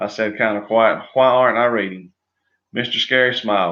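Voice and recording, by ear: Against a quiet background, the passage is delivered as reading aloud in a natural voice with fairly even intonation.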